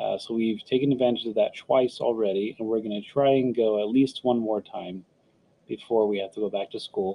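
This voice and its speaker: With an American accent, a man talks at a fairly quick pace. His medium-pitched voice keeps a fairly even intonation. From Texas (San Antonio). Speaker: podcast host. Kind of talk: casual solo chat. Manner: halting, many fillers.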